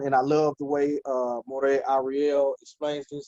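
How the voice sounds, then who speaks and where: A man with an unremarkable speaking voice talks at a fairly slow pace, his pitch fairly high. The sound is dry and close, with no echo. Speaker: Hebrew language teacher. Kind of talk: online language class.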